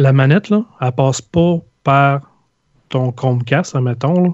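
At a fairly slow pace, a man speaks in a Quebec accent with a dark, mellow tone. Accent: Québécois French. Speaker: video game podcaster. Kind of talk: casual chat.

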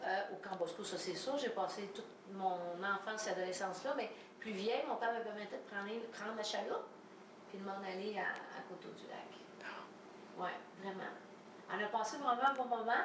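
A woman talks at a moderate pace and medium pitch with fairly even intonation and long, frequent pauses, amid noticeable background noise and audible room echo. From Quebec, Valleyfield area. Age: 50s. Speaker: podcast host, politician. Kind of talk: casual interview. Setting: home kitchen.

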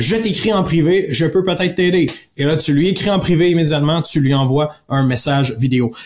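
A man's fairly high, animated voice in a Quebec accent, with lively intonation, a fairly quick pace and very even loudness. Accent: Québécois French. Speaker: podcast host, sales coach. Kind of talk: solo podcast talk.

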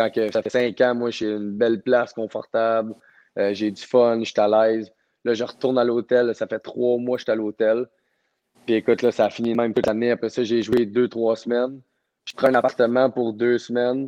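A man's medium-pitched, dark and mellow voice in a Quebec accent, flat and monotone in intonation. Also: moderate pace, dry, close sound with no echo. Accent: Québécois French. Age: 20s. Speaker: professional hockey player. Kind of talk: interview.

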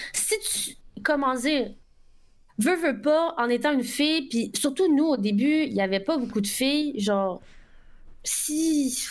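A woman speaks at a high pitch with lively intonation. Her pace is very slow, with long, frequent pauses. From Quebec. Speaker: Twitch streamer. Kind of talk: casual chat.

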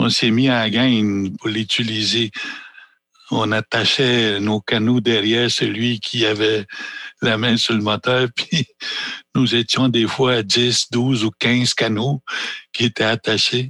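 A man speaks at a medium pitch and a very slow pace, with long, frequent pauses. His intonation is monotone and flat, his loudness very even, and the sound is dry and close with no echo. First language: Anishinaabe (speaking French). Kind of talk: panel discussion. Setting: small theatre.

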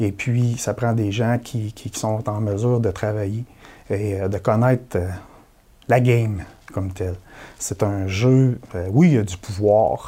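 A fairly low-pitched man speaks very slowly with long, frequent pauses. His voice is somewhat breathy, with a dark, mellow tone. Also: fairly even intonation. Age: 40s. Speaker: election candidate. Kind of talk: political interview.

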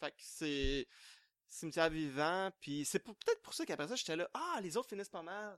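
Heard in a dry, close sound with no echo, a man with an unremarkable speaking voice talks at a fairly quick pace. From Quebec. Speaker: horror novelist. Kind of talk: panel discussion.

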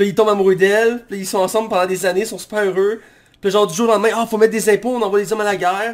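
Very fast and monotone, a man speaks with flat intonation at a high pitch. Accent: Quebec. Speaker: podcast host, film critic. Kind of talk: casual chat.

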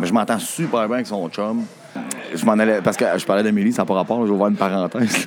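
Over music in the background, a man with a Quebec accent talks at a fairly quick pace with fairly even intonation. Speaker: musician in a band. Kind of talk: casual chat.

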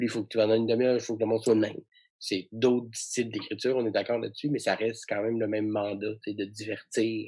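A man's medium-pitched, dark and mellow voice, very fast and monotone with flat intonation, against a quiet background. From Quebec, Saguenay. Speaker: comedian and comedy writer. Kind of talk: casual interview.

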